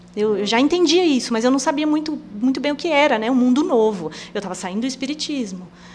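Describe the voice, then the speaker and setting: Very wide pitch swings come at a fairly quick pace, with noticeable background noise. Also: woman. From Rondônia, Brazil (Presidente Médici). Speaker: missionary. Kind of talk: casual interview. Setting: studio.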